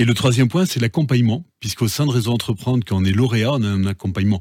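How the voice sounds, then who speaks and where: A man with a medium pitch and a somewhat breathy voice speaks with ordinary pitch variation. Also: dry, close sound with no echo. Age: 50s. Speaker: entrepreneur. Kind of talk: interview. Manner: halting, repeats words.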